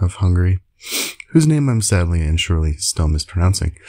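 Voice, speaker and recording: The speaker is a man with a very deep, low pitch. His tone is dark and mellow, and somewhat breathy. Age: 30s. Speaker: video blogger, language learner. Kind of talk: casual monologue.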